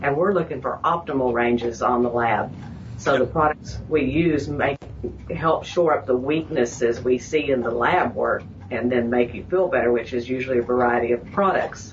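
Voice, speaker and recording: A woman with a very deep, low pitch talks over noticeable background noise. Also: ordinary pitch variation, moderate pace. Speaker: health practice co-worker. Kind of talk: casual interview.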